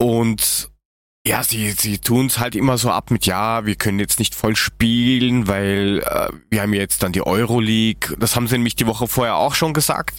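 This man has a normal speaking voice at a medium pitch, with fairly even intonation. He keeps a moderate pace and very even loudness. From Germany. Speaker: football podcast co-host. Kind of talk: casual chat.

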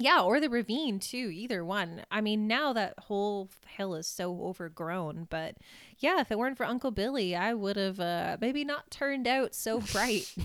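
A woman with an unremarkable speaking voice, fairly high-pitched and lively in intonation, at a moderate pace with hardly any pauses, on a very clean recording with a silent background. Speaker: podcast host. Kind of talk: casual chat, storytelling.

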